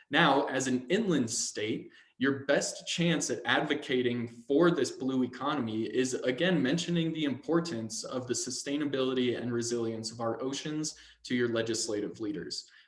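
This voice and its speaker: Over noticeable background noise, a man talks at a moderate pace in a medium pitch, with ordinary pitch variation. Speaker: ocean policy advocate. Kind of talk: webinar presentation.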